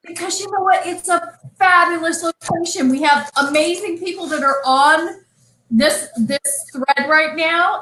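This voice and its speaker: In an American accent, the speaker uses a raised, projected voice with a bright, sharp tone at a moderate pace. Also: woman. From California. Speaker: winery co-owner. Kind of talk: casual chat. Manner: animated.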